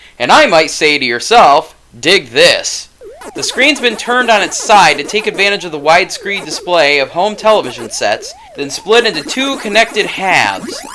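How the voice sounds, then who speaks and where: Moderate pace, with noticeable background noise. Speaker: game reviewer. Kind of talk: video game review narration. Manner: cheeky, jokey.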